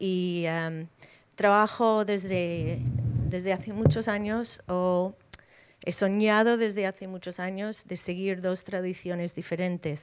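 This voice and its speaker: The delivery comes at a very slow pace with fairly even intonation. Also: woman. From United States. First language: English (speaking Spanish). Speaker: editor and writer. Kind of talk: panel talk.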